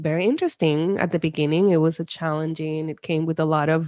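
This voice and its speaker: A woman with a Spanish accent and a fairly low pitch. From Puerto Rico, countryside. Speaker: psychologist. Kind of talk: interview.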